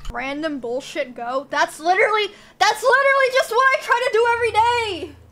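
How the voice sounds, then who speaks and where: A woman speaks in a raised, projected voice at a fairly quick pace, with very wide pitch swings. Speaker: live streamer. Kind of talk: casual stream chat. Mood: playful, joking. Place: home room.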